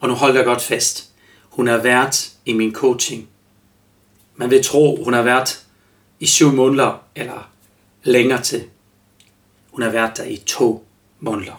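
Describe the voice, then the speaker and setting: Speaking with a German accent, a man goes at a very slow pace with long, frequent pauses and fairly even intonation. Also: medium pitch for a man. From Germany. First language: German (speaking Danish). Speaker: life coach and podcast host. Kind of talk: solo podcast monologue. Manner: halting, many fillers.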